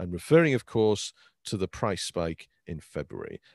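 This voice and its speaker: A man at a moderate pace and fairly low pitch, in a dry, close sound with no echo and a quiet background. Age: 40s. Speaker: conference speaker, crypto community member. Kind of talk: conference talk. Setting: online virtual event. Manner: halting, many fillers.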